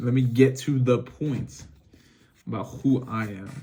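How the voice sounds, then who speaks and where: Flat, monotone intonation marks a man's somewhat breathy voice. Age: 20s. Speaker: vlogger, car wash worker. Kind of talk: casual unscripted monologue. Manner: halting, lots of filler and restarts.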